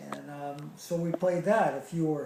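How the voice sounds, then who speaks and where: With an American accent, the speaker talks at a moderate pace with fairly even intonation, and the room echo is audible. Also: man. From US South, Charleston, South Carolina. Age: 60s. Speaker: interviewee recalling childhood. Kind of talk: interview. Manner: hesitant, many fillers.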